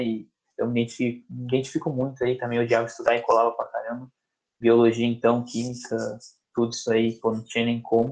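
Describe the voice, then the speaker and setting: The speech comes at a very fast pace. It is delivered with a Brazilian accent. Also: man. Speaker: podcast host, former student athlete. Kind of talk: casual interview chat. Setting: live stream with chat questions.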